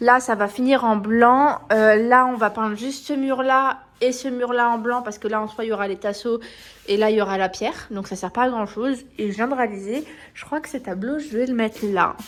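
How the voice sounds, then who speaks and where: Her pace is moderate. The woman's fairly high pitch shows ordinary pitch variation. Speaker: vlogger. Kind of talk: casual vlog. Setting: at home, partly outdoors. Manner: loud; animated.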